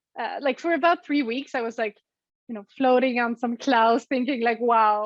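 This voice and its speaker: In a Swedish accent, a woman speaks at a high pitch with ordinary pitch variation. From Sweden. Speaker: physicist and app co-founder. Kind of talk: interview. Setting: remote call.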